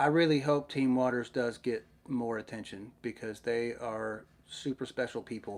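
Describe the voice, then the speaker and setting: A man's medium-pitched voice in a Southern US accent, at a moderate pace with fairly even intonation. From Middle Tennessee, US South. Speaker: YouTuber, underwater search diver. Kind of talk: live stream Q&A chat. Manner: casual, hesitant with many fillers.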